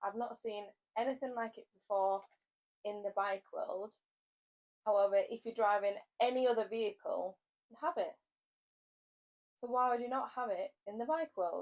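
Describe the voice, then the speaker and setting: With an English accent, a woman with a fairly high pitch talks in an animated tone at a moderate pace, with ordinary pitch variation and long, frequent pauses. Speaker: motorcycle vlogger. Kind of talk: product review vlog. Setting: indoors, mic on a table. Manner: loud.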